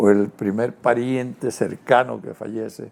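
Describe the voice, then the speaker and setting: A man's voice sits at a medium pitch with a dark, mellow tone. He talks at a fairly slow pace. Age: 80s+. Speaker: TV interview guest. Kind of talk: interview conversation.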